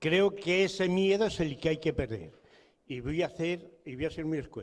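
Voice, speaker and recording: Using a high pitch, a man talks at a moderate pace with ordinary pitch variation. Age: 70s. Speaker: audience member. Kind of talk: audience question at political event. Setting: public political event. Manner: forceful.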